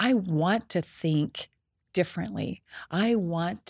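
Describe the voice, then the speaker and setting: A woman with an unremarkable speaking voice and an American accent talks at a fairly low pitch with lively intonation, recorded dry and close with no echo. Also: very clean recording, silent background. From southeastern Idaho, US. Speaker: political candidate, retired teacher. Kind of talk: interview.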